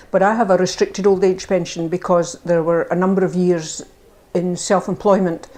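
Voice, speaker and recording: A woman talks in a Scottish accent at a medium pitch. Her intonation is monotone and flat, at a moderate pace. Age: 70s. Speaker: older person sharing views. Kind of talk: testimony.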